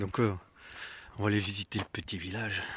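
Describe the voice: A man whispers in a soft-spoken way. His voice has a husky, rough edge.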